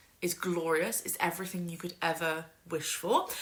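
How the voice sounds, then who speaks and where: Clear background noise sits behind a woman whose delivery is rather unhurried. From UK, West Midlands. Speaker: book youtuber. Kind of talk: casual talk to camera. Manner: hesitant, many ums.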